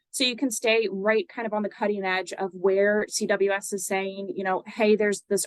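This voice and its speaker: This woman talks at a moderate pace with a medium pitch, and the sound is dry and close with no echo. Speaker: nonprofit webinar presenter. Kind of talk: webinar presentation. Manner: many filler words and hesitations.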